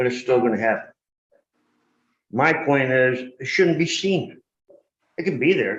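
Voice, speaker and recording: A man at medium pitch with very even loudness, a fairly slow pace, and long, frequent pauses, with audible room echo. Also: ordinary pitch variation. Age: 60s. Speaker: local resident commenting at public meeting. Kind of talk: public comment at town board meeting. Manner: animated.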